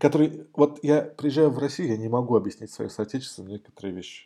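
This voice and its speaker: A man's dark, mellow tone comes through at a very fast pace. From Moscow, Russia. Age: 40s. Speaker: IT specialist. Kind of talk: casual interview.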